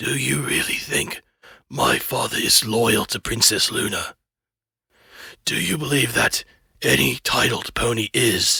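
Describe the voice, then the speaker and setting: Using a put-on character voice, a man speaks raspily at a medium pitch, leaving long, frequent pauses. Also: fairly slow pace. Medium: read story. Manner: calm, measured.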